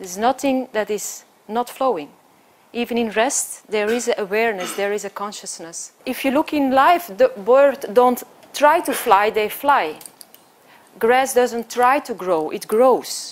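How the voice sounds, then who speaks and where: In a Flemish accent, a woman speaks fairly slowly in a high pitch with lively intonation. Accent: Flemish Belgian. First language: Dutch (Flemish). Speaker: choreographer and dancer. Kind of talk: conference talk.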